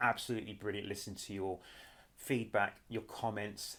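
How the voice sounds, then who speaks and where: With a British accent, a man speaks at a moderate pace in a fairly low pitch. His intonation is monotone and flat. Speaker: YouTube commentator. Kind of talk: casual vlog commentary.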